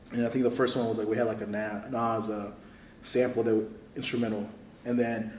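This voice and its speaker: A man speaks at a very fast pace with medium pitch, leaving long, frequent pauses. Room echo is audible. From Houston, Texas (born in Saudi Arabia, moved to US 1998). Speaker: cooking show contestant, home cook and content creator. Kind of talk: casual chat. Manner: casual, slangy, animated.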